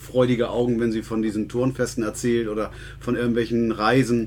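A man of medium pitch at a moderate pace, in a monotone, flat intonation. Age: middle-aged. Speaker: sports club podcast co-host. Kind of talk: casual chat. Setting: small room above the club office.

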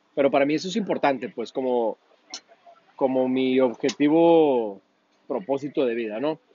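A man at medium pitch with ordinary pitch variation and long, frequent pauses. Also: moderate pace. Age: 30s. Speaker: interviewee. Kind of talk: casual interview.

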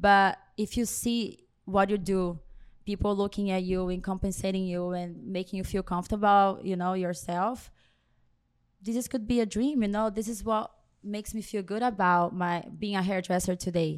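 A medium-pitched woman with a Brazilian accent, moderate pace and fairly even intonation, on a very clean recording with a silent background. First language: Portuguese. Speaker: hairstylist. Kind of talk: interview.

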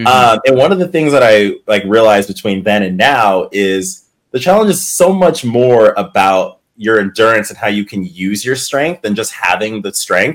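With an ordinary speaking voice, a man of medium pitch talks at a moderate pace and with lively intonation. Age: 30s. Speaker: reality TV competitor. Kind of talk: casual chat.

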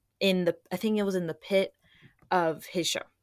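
A woman's fairly low voice, an unremarkable speaking voice, with fairly even intonation and a moderate pace on a very clean recording with a silent background. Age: young. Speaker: concert fan. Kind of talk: casual chat.

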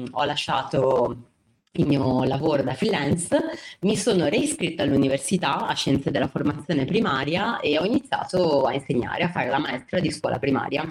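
Loudness stays very even throughout, with lively intonation. The pace is moderate. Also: woman. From Genoa, Liguria, northern Italy. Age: 20s. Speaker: teacher, former communications worker. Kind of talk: interview conversation. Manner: halting, with fillers and repetitions.

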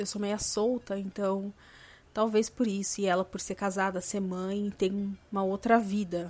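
On a very clean recording with a silent background, a woman of medium pitch talks at a fairly slow pace in a monotone, flat intonation, with long, frequent pauses. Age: 30s. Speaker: podcast host. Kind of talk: casual monologue.

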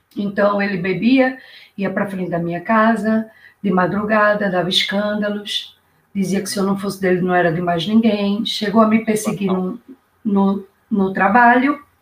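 An unremarkable speaking voice from a woman at a medium pitch. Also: moderate pace. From Brazil, Recife, Pernambuco. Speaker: YouTuber guest, public-sector worker. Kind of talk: casual live-stream interview. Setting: online live stream. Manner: lively, upbeat.

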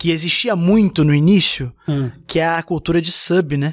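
The pace is moderate, with ordinary pitch variation. It is a normal speaking voice. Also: man, very clean recording, silent background. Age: 30s. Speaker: gaming content creator. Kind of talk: casual chat.

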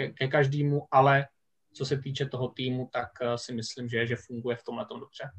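Speaking at a fairly quick pace, a man sounds somewhat breathy. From Czech Republic, Vysočina. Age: 30s. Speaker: American football coach and teacher. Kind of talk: casual podcast interview.

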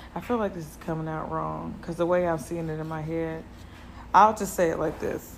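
In a room with audible echo, a woman with a fairly low pitch speaks at a fairly quick pace, her loudness swinging widely. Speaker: podcast host. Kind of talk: casual solo monologue. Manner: rambling, conversational.

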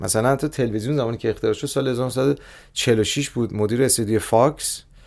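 Fairly quick and with hardly any pauses, a man speaks in an ordinary speaking voice at medium pitch with ordinary pitch variation. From Iran, Tehran. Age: 40s. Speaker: growth hacking expert and startup founder. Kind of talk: podcast interview.

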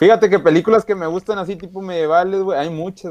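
A man recorded with a dry, close sound and no echo. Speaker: podcast co-host. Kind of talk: casual chat. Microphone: recording on a phone.

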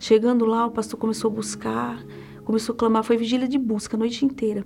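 A woman talks at a fairly quick pace in a fairly high voice, keeping her intonation fairly even. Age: 40s. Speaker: church member. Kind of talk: testimony. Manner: halting.

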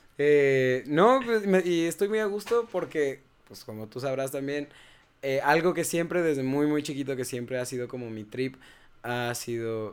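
Here a man talks with an ordinary speaking voice at a medium pitch. His intonation is lively, and his loudness swings a lot. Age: 20s. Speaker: gaming content creator. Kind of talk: casual chat.

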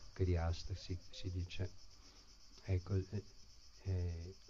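A man speaks very slowly in a very deep, low voice, his tone dark and mellow and somewhat breathy. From US, San Francisco. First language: English (speaking Italian). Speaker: Hare Krishna devotee and teacher. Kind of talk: spiritual talk to an audience. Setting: live gathering with audience, streamed online.

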